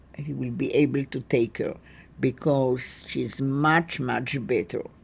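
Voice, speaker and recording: The speaker is a woman. She has a dark, mellow tone. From Poland. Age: 80s+. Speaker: Holocaust survivor. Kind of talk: testimony. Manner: halting.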